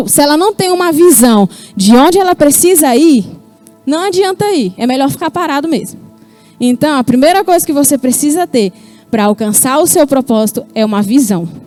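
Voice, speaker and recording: With music playing in the background, a woman speaks at a high pitch with very wide pitch swings, in a dry, close sound with no echo. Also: moderate pace. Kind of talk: explanatory, coaching.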